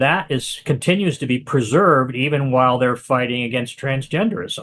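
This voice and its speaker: A man at medium pitch, fairly quick pace, ordinary pitch variation and hardly any pauses. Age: 60s. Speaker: author and activist. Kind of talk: interview. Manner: halting, many repetitions.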